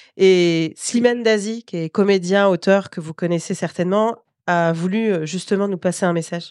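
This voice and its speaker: A woman with an ordinary speaking voice, medium in pitch, speaks at a moderate pace with fairly even intonation against a quiet background. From Paris suburbs. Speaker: journalist and podcast host. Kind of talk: casual chat; scripted narration.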